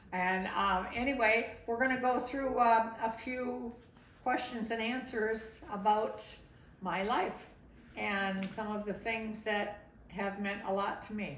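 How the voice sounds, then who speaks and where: At a very slow pace and fairly high pitch, a woman speaks with fairly even intonation over noticeable background noise and audible room echo. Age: 70s. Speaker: grandmother recording life story. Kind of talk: interview. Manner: conversational, with fillers.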